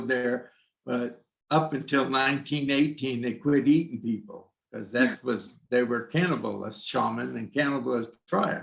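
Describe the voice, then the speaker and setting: A man with a medium-pitched voice and vocal fry speaks at a fairly slow pace with fairly even intonation. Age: 70s. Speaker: shaman, former psychologist. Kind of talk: casual interview.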